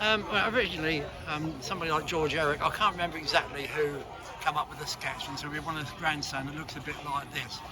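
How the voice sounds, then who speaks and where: Amid audible room echo and noticeable background noise, a man talks at a very fast pace in a fairly high pitch, with ordinary pitch variation and big swings in loudness. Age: 80s+. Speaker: retired toy designer and engineer. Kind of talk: interview. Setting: outdoors at a heritage open day. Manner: hesitant.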